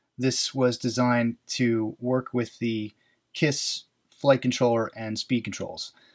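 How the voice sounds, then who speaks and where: A man is speaking. The background is quiet. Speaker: hobby drone reviewer. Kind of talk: product overview tutorial. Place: workshop.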